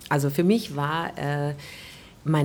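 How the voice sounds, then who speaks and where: Somewhat breathy speech from a woman at a fairly slow pace. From Stuttgart, Germany. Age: 40s. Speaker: jazz singer and vocal teacher. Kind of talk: casual interview. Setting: covered terrace outdoors, raining.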